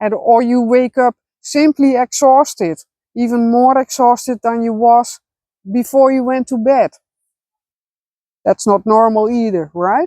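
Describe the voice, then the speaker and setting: A woman with a Dutch accent, high-pitched yet dark and mellow in tone, with ordinary pitch variation, a fairly slow pace, long, frequent pauses, and a dry, close sound with no echo. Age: 40s. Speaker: spiritual vlogger. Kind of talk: personal vlog monologue. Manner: halting, many fillers.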